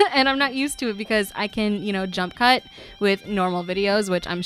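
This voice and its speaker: A woman's fairly high voice with lively intonation and music in the background. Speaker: YouTuber, game builder. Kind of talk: voiceover commentary. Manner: halting, many fillers.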